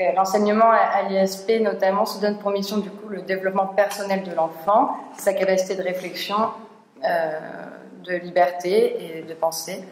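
The pace is fairly slow. Audible room echo and light background noise can be heard. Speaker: seminar co-organizer. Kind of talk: speaker introduction. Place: classroom.

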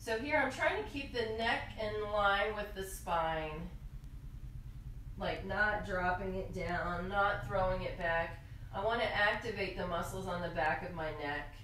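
A woman speaks at a fairly slow pace with ordinary pitch variation. There is audible room echo and light background noise. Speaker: yoga instructor. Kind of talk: tutorial. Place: home room.

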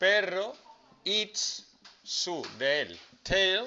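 Very slowly, a man speaks in a high pitch. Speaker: teacher. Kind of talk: classroom lesson explaining English grammar to students. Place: classroom.

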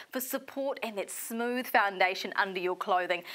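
An upbeat woman's voice with a bright, sharp tone and a New Zealand accent. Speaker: shopping channel presenter. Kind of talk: infomercial. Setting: studio. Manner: upbeat, persuasive, urgent sales patter.

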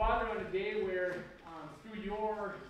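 A man's voice in strong room echo amid noticeable background noise. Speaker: pastor. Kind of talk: church announcements and prayer. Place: church.

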